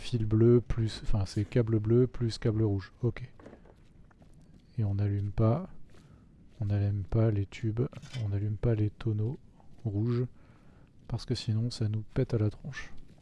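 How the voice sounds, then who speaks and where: A man talks at a fairly slow pace with long, frequent pauses. His fairly low, dark, mellow voice is somewhat breathy, with fairly even intonation. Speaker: gaming video creator. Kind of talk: let's play commentary. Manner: casual, muttering to himself.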